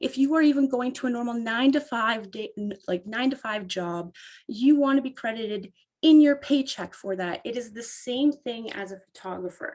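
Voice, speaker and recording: In a very clean recording with a silent background, a woman with a Canadian accent speaks at a moderate pace in a high pitch, with ordinary pitch variation and big swings in loudness. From Canada, Ontario. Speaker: photographer. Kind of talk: casual interview. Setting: podcast interview.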